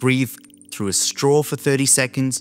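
A man speaks at a moderate pace. Faint music sits in the background. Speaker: health educator. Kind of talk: educational explainer. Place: home room. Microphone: studio mic.

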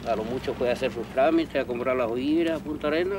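Noticeable background noise sits under a man whose fairly high voice carries lively intonation. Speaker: crab fisherman. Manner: casual, colloquial.

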